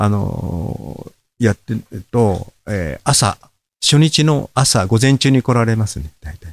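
A man's very slow, lively-intoned speech in a dry, close sound with no echo. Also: medium pitch for a man. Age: 70s. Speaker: paper-cut artist. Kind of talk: casual interview chat.

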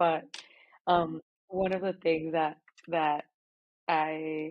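A woman's very deep, low voice in a Spanish accent. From Mexico, Monterrey. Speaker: marathon runner and architecture graduate. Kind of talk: casual chat.

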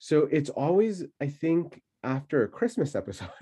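His pitch leaps and drops over a very wide range. The man's tone is dark and mellow, somewhat breathy too. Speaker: spiritual podcast co-host. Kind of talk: guided meditation; casual chat.

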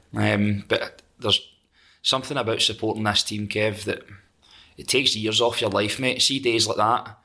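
In a Scottish accent, a bright, sharp voice talks at a moderate pace with monotone, flat intonation on a very clean recording with a silent background. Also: man, fairly low pitch for a man. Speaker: metal singer and songwriter. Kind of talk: casual chat.

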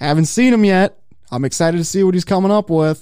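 The voice has a dark, mellow tone. It comes with an American accent. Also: man. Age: 30s. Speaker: motorsports podcast host. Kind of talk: casual chat. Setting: studio.

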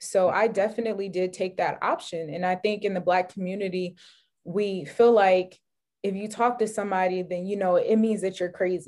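A woman with an American accent, an ordinary speaking voice, medium pitch, fairly even intonation and a moderate pace. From New York, Rockland County. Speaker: podcast host. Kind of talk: interview.

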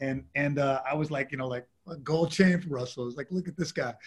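This voice carries a New York accent, sounds somewhat breathy, and moves through ordinary pitch variation. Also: man. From New York, Lower East Side. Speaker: music industry executive. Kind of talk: interview. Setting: video call.

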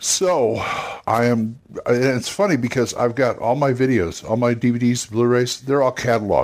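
At a moderate pace, a man speaks at a medium pitch with ordinary pitch variation. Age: 60s. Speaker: tabletop gaming podcast host. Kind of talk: casual monologue. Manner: halting.

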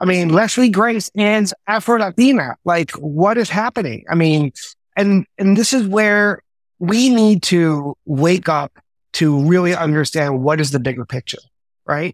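A man with a New York accent, high-pitched and lively in intonation, in a dry, close sound with no echo. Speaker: entertainment business executive. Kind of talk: casual interview chat. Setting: video call.

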